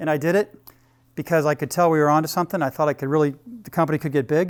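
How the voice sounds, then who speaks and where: Delivered at a very fast pace with fairly even intonation, the speech has a dry, close sound with no echo in a very clean recording with a silent background. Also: man, fairly high pitch for a man. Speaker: business executive and workshop speaker. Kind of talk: workshop talk.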